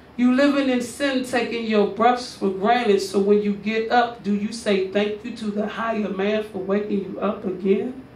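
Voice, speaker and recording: Against noticeable background noise, the speaker keeps a moderate pace with hardly any pauses. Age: 30s. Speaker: spoken word poet performer. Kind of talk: spoken word poem delivered like a sermon. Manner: preacherly, rhythmic, emphatic.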